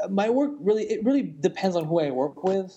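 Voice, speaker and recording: Lively male intonation at a moderate pace, with noticeable background noise behind it. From France. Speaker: music video director and motion designer. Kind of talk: interview.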